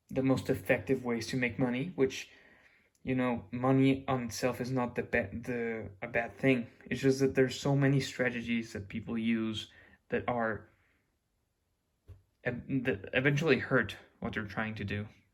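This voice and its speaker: A man speaks at a medium pitch with a Mexican accent. His intonation is fairly even, broken by long, frequent pauses. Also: moderate pace. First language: Spanish. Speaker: YouTuber. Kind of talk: casual monologue. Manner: halting, with restarts.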